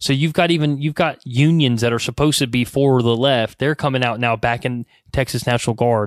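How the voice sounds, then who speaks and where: A man talks at a fairly quick pace with hardly any pauses, in a normal speaking voice at medium pitch, on a very clean recording with a silent background. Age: 30s. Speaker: podcast host. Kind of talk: casual monologue. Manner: casual, with filler words.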